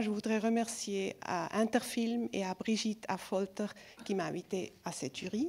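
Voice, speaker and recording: A woman speaks at a fairly slow pace with a fairly high pitch. Her pitch varies in an ordinary way, and the recording is very clean with a silent background. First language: not French (speaking French). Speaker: film festival jury member. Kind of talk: award speech. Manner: halting, self-correcting.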